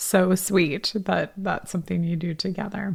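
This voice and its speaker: A woman speaks in an American accent with vocal fry. Her intonation stays monotone and flat. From California. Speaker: podcast host. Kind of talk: casual interview chat.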